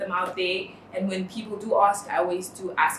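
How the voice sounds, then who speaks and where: In a Namibian accent, a woman speaks at a moderate pace and medium pitch, with audible room echo and noticeable background noise. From northern Namibia. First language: Oshiwambo. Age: 20s. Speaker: interviewee. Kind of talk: personal testimony. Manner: hesitant, many fillers.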